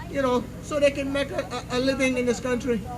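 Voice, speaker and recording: Against crowd noise in the background, a man speaks at a fairly slow pace in an extremely high pitch. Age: 60s. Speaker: political candidate. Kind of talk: campaign speech. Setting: public meeting with audience.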